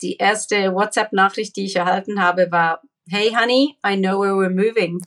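A woman speaks in an ordinary speaking voice at a moderate pace. Her intonation stays fairly even. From Papua New Guinea, Swiss family. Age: 40s. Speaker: social entrepreneur against human trafficking. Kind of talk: interview. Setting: remote call from Israel.

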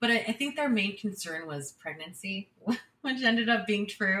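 Speaking at a moderate pace with hardly any pauses, a woman with a medium pitch talks in a Californian accent. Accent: Californian American English. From California (San Jose). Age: 20s. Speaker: podcast guest sharing life story. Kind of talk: personal storytelling interview. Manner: halting with many fillers and repetitions.

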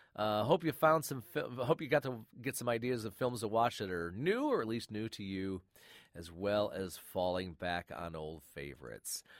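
A man speaks in a warm tone. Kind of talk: relaxed radio-host show wrap-up, chatty sign-off patter leading into an archive clip. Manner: warm, conversational, friendly, with filler 'uh's and casual pacing.

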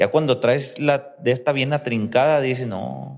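A man is speaking. His pitch is medium. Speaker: podcast host. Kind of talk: casual interview. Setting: recording on location in Guadalajara.

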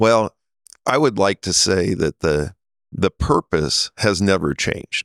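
Speaking with a Midwestern US accent, a man with a very deep, low pitch talks at a fairly slow pace with lively intonation in a dry, close sound with no echo. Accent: US Midwest. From Nebraska. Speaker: telecom company CEO. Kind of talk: interview. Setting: conference in Las Vegas.

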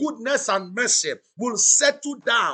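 At a fairly slow pace, a man projects a raised voice of extremely high pitch with a bright, sharp tone. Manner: rhythmic, repetitive and insistent, rising with intensity as he decrees blessings; loud, exclamatory and exhorting, urging the audience to shout back.

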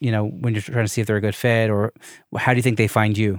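On a very clean, dry, close recording with no echo and a silent background, a man with a plain, everyday voice speaks at a medium pitch with fairly even intonation. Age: 30s. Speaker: podcast host. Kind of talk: casual chat.

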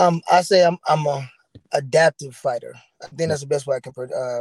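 A man talks at a fairly quick pace with a somewhat breathy voice. The sound is dry and close, with no echo. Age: 30s. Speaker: boxer. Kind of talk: interview.

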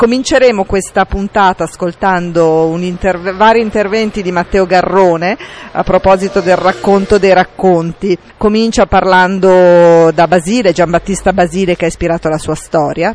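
With a normal speaking voice, a woman talks at medium pitch and a moderate pace, her intonation fairly even. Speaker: radio film show host. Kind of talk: radio presenting and interviews. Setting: film festival.

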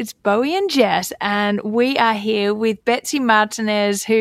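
Fairly high in pitch, a woman's voice with ordinary pitch variation. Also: dry, close sound with no echo, very clean recording, silent background. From Australia. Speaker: podcast co-host. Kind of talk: casual chat.

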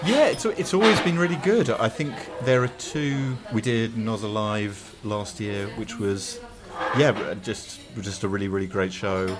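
Over noticeable background noise and audible room echo, a man with a southern English accent speaks at a fairly slow pace with lively intonation. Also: medium pitch for a man. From Hertfordshire, southern England. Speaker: band drummer. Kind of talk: casual interview chat. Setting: coffee shop at a festival. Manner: hesitant, many fillers.

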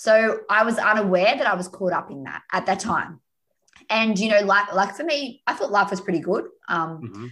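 A woman with an Australian accent speaks at a moderate pace in a medium pitch and a bright, sharp tone. Her intonation is lively and her loudness swings widely. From Australia, north of Sydney. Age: 30s. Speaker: happiness coach. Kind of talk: interview.

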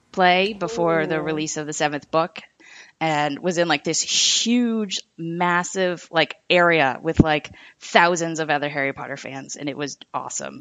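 A woman's fairly low voice at a moderate pace. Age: 20s. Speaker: graphics coordinator, fan podcast guest. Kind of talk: casual chat. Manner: hesitant.

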